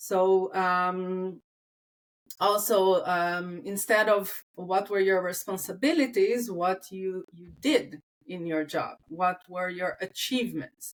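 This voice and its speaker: At a very slow pace, a woman speaks at medium pitch. Her pitch variation is ordinary. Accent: non-native. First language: not English. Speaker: talent acquisition recruiter. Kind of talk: casual interview chat. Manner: halting, many fillers.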